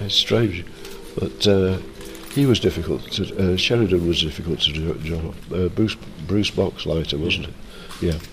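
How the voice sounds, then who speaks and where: At a moderate pace and with ordinary pitch variation, the speaker leaves long, frequent pauses over noticeable background noise. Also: man, very deep, low pitch for a man. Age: 70s. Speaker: comic artist. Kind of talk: interview. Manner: halting.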